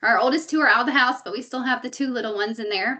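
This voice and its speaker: Talking at a very fast pace, a woman uses a high, bright, sharp voice with ordinary pitch variation. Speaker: real estate broker. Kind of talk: webinar presentation. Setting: online webinar. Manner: casual, chatty with fillers.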